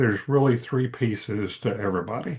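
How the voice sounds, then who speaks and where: Against a quiet background, a man with a medium-pitched, somewhat breathy voice talks at a moderate pace with lively intonation. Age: 70s. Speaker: executive coach and author. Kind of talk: podcast interview.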